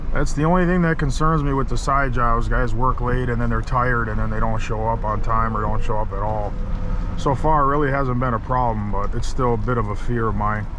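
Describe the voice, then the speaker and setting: The sound is dry with no echo, and noticeable background noise is present. A man speaks at a moderate pace. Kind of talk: casual vlog chat. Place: car. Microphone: phone near.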